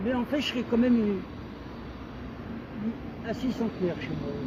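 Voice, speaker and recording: Through noticeable background noise, a man with an extremely high pitch speaks at a moderate pace and with fairly even intonation. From Serbia, mountains. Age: 80s+. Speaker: passer-by. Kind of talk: casual chat. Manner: halting.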